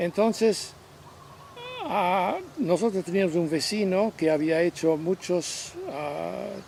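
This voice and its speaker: A man speaks at a very slow pace with a high pitch and ordinary pitch variation. Noticeable background noise runs underneath. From Belgium, Ghent. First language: French (speaking Spanish). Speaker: interviewee recounting life story. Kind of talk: interview, life story. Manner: halting, with repetitions.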